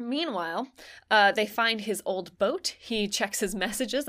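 A woman speaks at a moderate pace with a fairly high pitch, an animated tone and lively intonation. The recording is very clean, with a silent background. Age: 20s. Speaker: podcast co-host. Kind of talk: casual chat.

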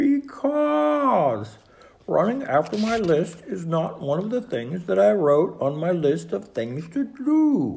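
Using a put-on character voice, the speaker talks slowly with big pitch swings, vocal fry, and a slightly mellow tone, with audible room echo.

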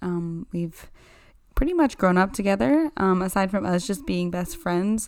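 The recording is very clean, with a silent background. A woman with a plain, everyday voice and medium pitch speaks at a fairly slow pace with lively intonation. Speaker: podcast co-host. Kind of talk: casual chat.

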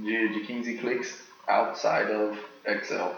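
A man with an American accent speaks at a medium pitch. Background noise is noticeable and room echo is audible. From US South, Tennessee. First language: English (speaking Portuguese). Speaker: American expat in Brazil-related business. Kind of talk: casual interview. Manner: halting, with fillers.

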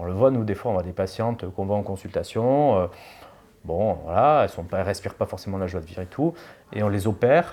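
This man's dark, mellow voice moves at a fairly quick pace with lively intonation. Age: 40s. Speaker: plastic surgeon. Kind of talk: casual chat. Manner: halting.

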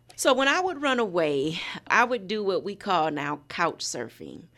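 A woman with an unremarkable speaking voice and an American accent talks at a medium pitch and fairly slow pace. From Indiana. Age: 50s. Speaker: nonprofit founder. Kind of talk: casual chat.

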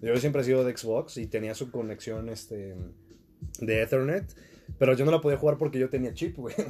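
A man with a Mexican accent, medium in pitch, dark and mellow in tone, with ordinary pitch variation and a fairly quick pace. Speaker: podcast host. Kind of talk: casual chat.

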